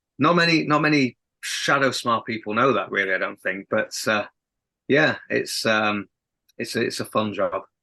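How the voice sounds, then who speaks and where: In a dry, close sound with no echo and a quiet background, a man talks at a moderate pace in a medium pitch, with a bright, sharp tone and ordinary pitch variation. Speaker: rock band singer. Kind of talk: casual interview chat. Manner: halting, many repeated words.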